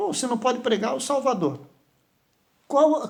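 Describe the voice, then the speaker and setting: A man's voice carries audible room echo. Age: 60s. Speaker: pastor. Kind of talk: sermon. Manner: halting.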